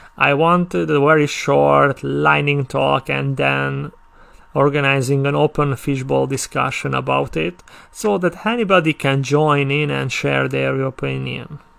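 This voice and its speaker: Speaking at a fairly slow pace, a man talks with a Hungarian accent. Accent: non-native English, Hungarian. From Hungary. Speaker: conference speaker. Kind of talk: conference talk. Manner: halting, with stammered restarts.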